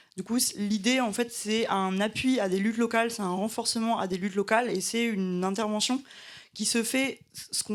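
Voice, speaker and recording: Speaking at a fairly quick pace, a woman uses fairly even intonation and a fairly high pitch on a very clean recording with a silent background. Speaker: environmental activist. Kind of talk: panel discussion. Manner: fast; halting, many fillers.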